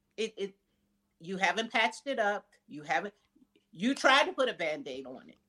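With an American accent, a woman speaks at a moderate pace in a medium pitch with a bright, sharp tone, vocal fry, very wide pitch swings, and long, frequent pauses. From US Midwest, Wisconsin. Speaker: mental health counselor. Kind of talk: interview.

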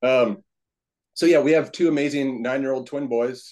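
With an American accent, a man speaks in an unremarkable speaking voice at medium pitch, moderate pace and ordinary pitch variation. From California, US. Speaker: real estate investor. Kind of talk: casual chat.

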